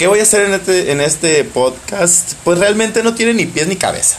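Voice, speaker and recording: A man talking at a moderate pace amid noticeable background noise. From Mexico, Baja California Sur. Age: 30s. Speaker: podcast host and tattoo artist. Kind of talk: casual monologue.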